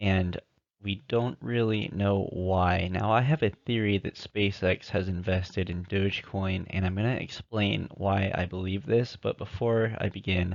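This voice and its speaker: Against a quiet background, a man with a fairly low voice talks at a fairly slow pace with hardly any pauses and fairly even intonation. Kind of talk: amateur crypto theory narration over slides. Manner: monotone.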